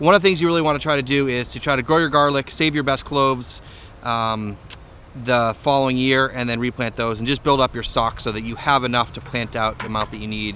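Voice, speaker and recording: Recorded dry with no echo over light background noise, a man talks at a very fast pace with ordinary pitch variation. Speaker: small farmer vlogger. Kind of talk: casual vlog chat. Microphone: phone near.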